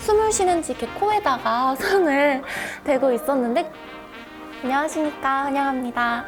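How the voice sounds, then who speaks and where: Over music in the background, a woman with a high pitch speaks at a moderate pace with lively intonation and long, frequent pauses. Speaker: cinema operations analyst, former cinema part-time staff. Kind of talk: interview answer.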